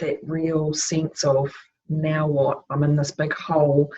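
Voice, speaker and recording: A woman speaks with a New Zealand accent. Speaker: life transitions coach. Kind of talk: casual conversation.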